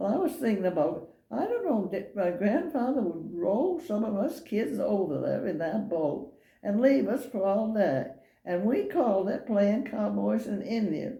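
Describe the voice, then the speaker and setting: A woman's medium-pitched voice with an American accent, dark, mellow tone and vocal fry, at a fairly slow pace with very wide pitch swings, in audible room echo. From Maine, US. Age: 80s+. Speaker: elderly local resident interviewed. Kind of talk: oral history interview. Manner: halting.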